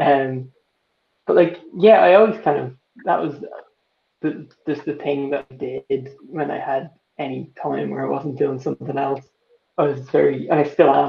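Pausing long and often, a man with a Dublin accent speaks at a moderate pace amid audible room echo. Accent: Dublin Irish. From Ireland. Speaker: artist and illustrator, college student. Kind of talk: casual interview chat. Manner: hesitant, filler-heavy. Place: home room. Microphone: video call.

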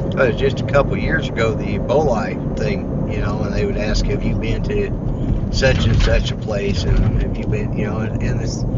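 A man at a fairly slow pace, dry sound with no echo, over loud background noise. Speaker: vlogger driving. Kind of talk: casual vlog chat. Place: car. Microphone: phone near.

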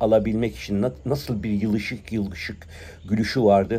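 A man speaks with a dark, mellow tone. His pitch varies in an ordinary way. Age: 60s. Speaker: prayer bead collector and commentator. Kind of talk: monologue commentary; casual vlog chat, opinionated monologue. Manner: hesitant with filler sounds. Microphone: phone near.

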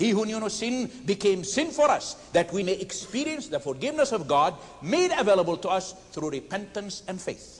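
Over noticeable background noise, a man with a high pitch speaks at a moderate pace, his pitch swinging very widely. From Palestine (Nazareth). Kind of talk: formal debate presentation.

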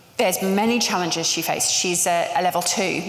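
A woman talks over light background noise, with audible room echo. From England. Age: 50s. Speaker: panel moderator, agency co-founder; panel moderator. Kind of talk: live panel moderation. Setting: stage with audience. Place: hall.

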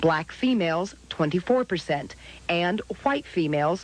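This woman has an unremarkable speaking voice, fairly low in pitch. Her intonation is lively and her pace moderate. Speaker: TV news reporter. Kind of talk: TV news report.

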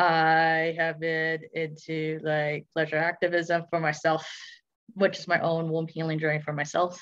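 Fairly slow, monotone, flat delivery against a quiet background. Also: woman, fairly low pitch for a woman. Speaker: podcast guest. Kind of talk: interview answer. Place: home room. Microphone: video call.

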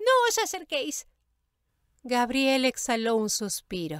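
At a very slow pace, a woman speaks high-pitched with very wide pitch swings. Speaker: audiobook narrator. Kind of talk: audiobook narration.

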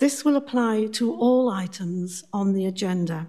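The voice is dark, mellow and somewhat breathy, with ordinary pitch variation. It moves at a very slow pace against a quiet background. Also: woman. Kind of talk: formal meeting chairing. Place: hall.

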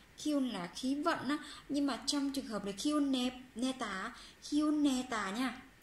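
A woman's high voice at a moderate pace, with long, frequent pauses and audible room echo. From Vietnam. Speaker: Korean language teacher on a video channel; Korean language teacher. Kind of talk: language lesson tutorial. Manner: hesitant, many fillers. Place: home room. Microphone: phone near.

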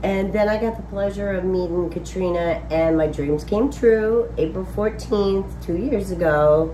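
A woman with an American accent speaks at a fairly slow pace. Light background noise and audible room echo are present. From Wisconsin. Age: 50s. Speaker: farmer. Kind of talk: casual chat. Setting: outdoors. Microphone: phone near.

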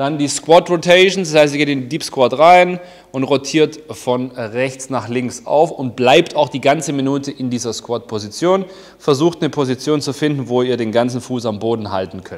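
With ordinary pitch variation and a moderate pace, a man talks over quiet surroundings. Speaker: fitness coach. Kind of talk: tutorial. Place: gym. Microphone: lapel.

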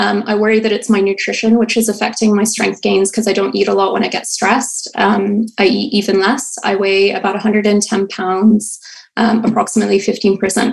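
Against a quiet background, a woman speaks at a moderate pace in a monotone, flat intonation, with very even loudness and hardly any pauses. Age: 20s. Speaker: caller, hospital worker; caller. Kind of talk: call-in question. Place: home room. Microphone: video call.

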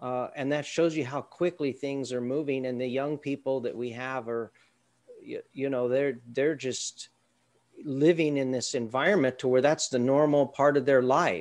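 A man with an American accent has an unremarkable speaking voice, medium in pitch. His pace is moderate and his intonation fairly even. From Southern California. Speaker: university lecturer. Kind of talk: work meeting. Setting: video call. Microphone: video call.

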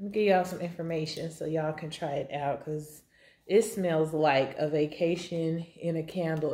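In an ordinary speaking voice, a woman talks with a fairly low pitch and fairly even intonation. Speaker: beauty vlogger. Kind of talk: casual vlog chat. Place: kitchen. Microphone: phone near.

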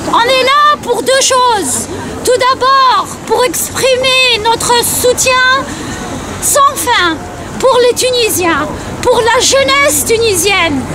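A woman speaks at a very slow pace with long, frequent pauses. The sound is dry with no echo, though noticeable background noise is present. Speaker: rally speaker, Tunisian diaspora activist. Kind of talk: rally speech. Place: street. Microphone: phone near.

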